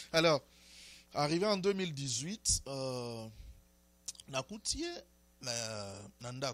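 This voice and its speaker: Very slow and broken by long, frequent pauses, a man's medium-pitched voice moves through very wide pitch swings. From DR Congo. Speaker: prophet. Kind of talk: interview. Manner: hesitant, many fillers.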